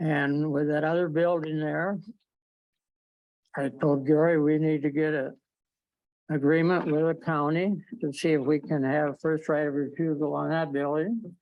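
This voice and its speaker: Speaking at a moderate pace with long, frequent pauses, a man uses a fairly high pitch and a monotone, flat intonation. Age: 80s+. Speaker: business owner addressing city council. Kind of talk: public comment at council meeting. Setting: city council meeting.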